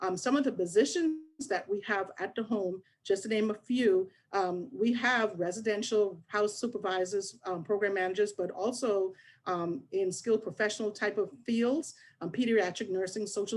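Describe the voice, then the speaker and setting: With a slight Bahamian accent, a woman speaks at a medium pitch and moderate pace with ordinary pitch variation. The recording is very clean, with a silent background. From Bahamas (Nassau). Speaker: HR business partner at a children's agency. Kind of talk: career expo presentation.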